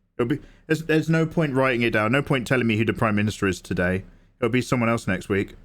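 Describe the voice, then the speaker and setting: In a very clean recording with a silent background, a man with an English accent speaks at medium pitch and a fairly quick pace. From England. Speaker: artist livestreamer. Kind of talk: casual livestream chat while drawing.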